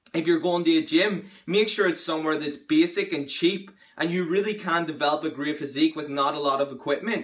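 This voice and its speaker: Using an ordinary speaking voice, a man talks at a moderate pace with fairly high pitch and fairly even intonation. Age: young. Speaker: bodybuilder. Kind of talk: casual talk to camera.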